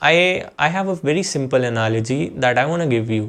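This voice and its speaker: This man speaks with an Indian accent at a moderate pace. His intonation is lively. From Jammu, India. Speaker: YouTuber. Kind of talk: casual vlog monologue. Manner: halting, repetitive.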